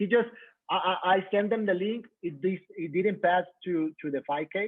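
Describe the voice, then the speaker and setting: A man speaks with a Mexican accent. His pitch is high and his pace moderate. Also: ordinary pitch variation. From Mexico. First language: Spanish. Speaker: coach. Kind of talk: testimony. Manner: halting.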